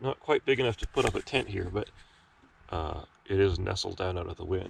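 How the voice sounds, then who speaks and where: A somewhat breathy man talks with ordinary pitch variation and long, frequent pauses. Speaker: geologist, hiker. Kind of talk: casual talk to camera. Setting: outdoors, windy.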